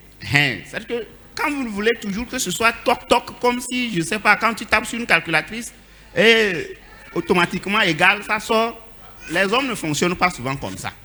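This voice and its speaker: A man with a high-pitched voice speaks at a moderate pace in an animated, raised and projected tone, his pitch varying in an ordinary way over noticeable background noise. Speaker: church member speaking in a debate. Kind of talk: church panel debate.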